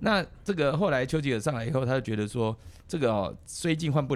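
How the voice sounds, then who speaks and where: Here a man talks at a fairly quick pace, medium in pitch, with a normal speaking voice. His intonation is lively. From Taiwan. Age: 50s. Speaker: politician, legislator. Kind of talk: casual chat.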